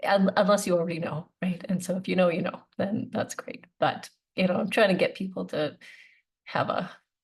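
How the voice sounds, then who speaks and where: A woman's somewhat breathy voice sits at a medium pitch with fairly even intonation. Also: moderate pace. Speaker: naturopathic doctor. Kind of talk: webinar talk. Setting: online webinar. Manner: halting.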